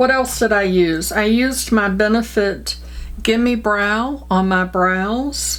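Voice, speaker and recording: A woman speaks with audible room echo. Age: 60s. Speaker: beauty vlogger. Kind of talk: makeup tutorial. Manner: casual, chatty.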